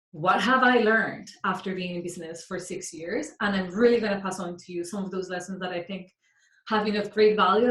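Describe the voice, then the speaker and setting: A woman is speaking. She has a Colombian accent. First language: Spanish. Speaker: mindset coach. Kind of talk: workshop talk.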